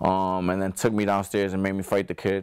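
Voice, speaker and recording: The speaker has a New Jersey accent and a fairly quick pace. The recording is very clean, with a silent background. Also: man. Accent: New Jersey urban. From New Jersey, Passaic. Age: 20s. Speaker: professional boxer. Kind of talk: interview testimony.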